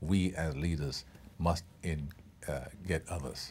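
A man speaks with ordinary pitch variation and a touch of vocal fry. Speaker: actor being interviewed. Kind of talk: interview answer. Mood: relaxed, thoughtful. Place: hall. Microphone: lapel.

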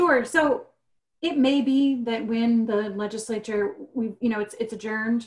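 A woman speaks at a moderate pace in a somewhat breathy voice, with fairly even intonation over a quiet background. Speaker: environmental staff attorney; webinar panelist. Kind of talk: webinar presentation. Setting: video call. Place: home room. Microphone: video call.

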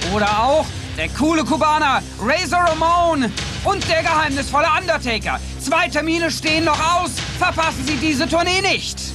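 Over music in the background, a raised, projected voice holds a very even loudness at a moderate pace with ordinary pitch variation. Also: man, extremely high pitch for a man. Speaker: TV announcer / voice-over speaker. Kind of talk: TV promo announcement for wrestling tour.

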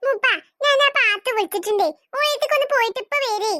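A woman performs a squeaky, cartoonish character voice at an extremely high pitch. Her intonation is lively and her pace moderate. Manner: curt, irritated.

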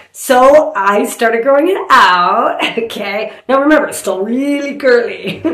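In a room with audible echo and a quiet background, a woman speaks at a moderate pace in a high pitch. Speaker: comedian. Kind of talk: comedic storytelling monologue. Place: home room. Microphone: phone near.

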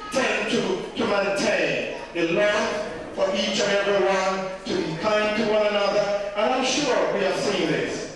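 A man speaks slowly-ish, at a fairly slow pace and a high pitch. Strong room echo and noticeable background noise surround him. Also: fairly even intonation. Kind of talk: speech to gathering. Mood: warm, earnest. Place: hall. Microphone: camera far.

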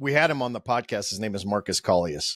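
This man talks at a fairly quick pace with lively intonation and an American accent. The sound is dry with no echo, and the background is quiet. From Oklahoma. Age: 50s. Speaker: podcast host. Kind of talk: casual interview. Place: studio. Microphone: studio mic.

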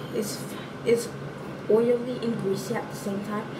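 Loud background noise surrounds a woman as she talks. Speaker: beauty vlogger. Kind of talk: casual vlog chat. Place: bathroom. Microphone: phone near.

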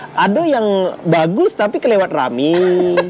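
There is light background noise as a man speaks in a high pitch. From Palembang, Indonesia. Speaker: stand-up comedian. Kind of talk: casual interview answer. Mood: relaxed, joking, laughing. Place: cafe.

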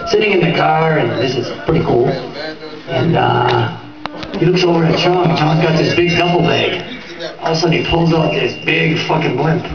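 With music in the background and audible room echo, a man speaks at a moderate pace. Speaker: party storyteller. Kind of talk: comedic storytelling with impressions. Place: home room.

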